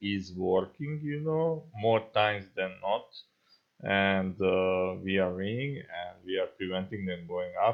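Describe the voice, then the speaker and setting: Speaking at a fairly slow pace, a man with a non-native accent uses ordinary pitch variation. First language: not English. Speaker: gaming YouTuber. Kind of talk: gameplay tutorial commentary. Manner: halting, many fillers.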